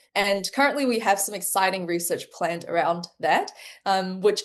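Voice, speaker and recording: Someone with a New Zealand accent talks at a fairly quick pace with lively intonation over a quiet background. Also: woman. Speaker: medical researcher. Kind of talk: interview.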